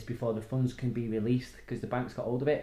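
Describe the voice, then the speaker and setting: A man speaks at a very fast pace. His tone is dark, mellow and somewhat breathy. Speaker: podcast co-host. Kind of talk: casual chat, storytelling. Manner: talkative, rambling storyteller.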